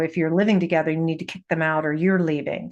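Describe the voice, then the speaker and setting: A woman speaks over a quiet background. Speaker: astrologer. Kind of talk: weekly astrology forecast monologue. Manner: halting, searching for words.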